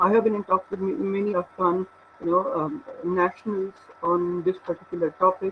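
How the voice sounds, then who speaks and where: Noticeable background noise sits under speech with fairly even intonation. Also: man, high pitch for a man, moderate pace. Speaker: research scholar. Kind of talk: lecture. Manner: halting. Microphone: weak internet connection.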